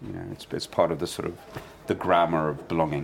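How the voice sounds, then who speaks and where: The voice carries a London accent. Noticeable background noise is present. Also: man. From London, England. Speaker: journalist and author. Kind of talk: interview.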